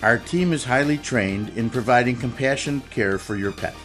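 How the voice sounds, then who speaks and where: Man speaking at a fairly quick pace, with faint music in the background. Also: ordinary pitch variation. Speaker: voice actor. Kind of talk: TV commercial read.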